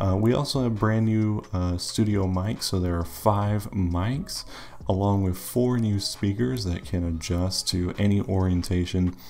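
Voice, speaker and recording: Quietly and at a fairly slow pace, a man speaks in a fairly low pitch against noticeable background noise. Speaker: tech youtuber. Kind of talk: casual tech review.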